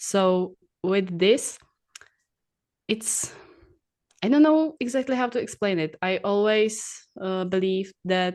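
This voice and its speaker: A woman talks in a Czech accent at a very slow pace. Her pitch sits in the medium range. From Czech Republic. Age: 20s. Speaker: bodybuilding athlete and coach. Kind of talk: interview podcast. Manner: halting.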